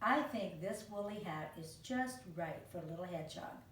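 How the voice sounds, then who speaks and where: A woman's put-on character voice, gruff, growling and rumbling, at medium pitch with lively intonation, a moderate pace, and audible echo. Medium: read story. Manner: gruff, grumbling.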